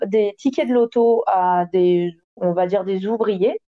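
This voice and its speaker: Here a woman is speaking. Her pace is very slow. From southern France. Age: 30s. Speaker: stripper. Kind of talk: interview testimony. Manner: hesitant, many fillers.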